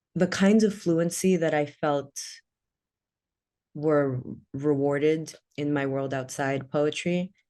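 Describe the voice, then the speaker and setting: With an American accent, a woman speaks very slowly at a very deep, low pitch in a dark, mellow tone, with ordinary pitch variation and long, frequent pauses against a quiet background. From Washington DC, US, Sudanese community. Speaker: poet. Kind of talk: interview conversation. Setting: online video event.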